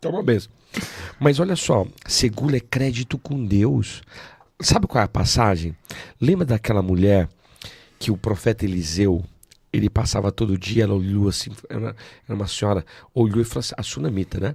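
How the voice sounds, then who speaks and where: Somewhat breathy, a man speaks at a fairly low pitch with lively intonation. He leaves long, frequent pauses. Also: moderate pace. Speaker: pastor. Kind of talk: preaching in an interview.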